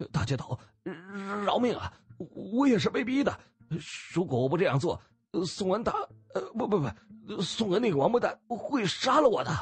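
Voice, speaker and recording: Using a put-on character voice, a man speaks shakily at a moderate pace, his high pitch making very wide swings. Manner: trembling, pleading.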